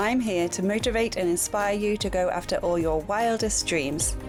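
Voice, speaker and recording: Music plays behind a woman talking at a fairly quick pace. Her medium-pitched voice has lively intonation. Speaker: travel transformation coach. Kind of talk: podcast intro.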